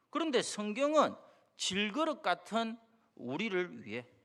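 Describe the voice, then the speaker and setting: The speaker talks at a fairly slow pace with a strong Gyeongsang accent. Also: man. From Busan, South Korea. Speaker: pastor. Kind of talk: sermon.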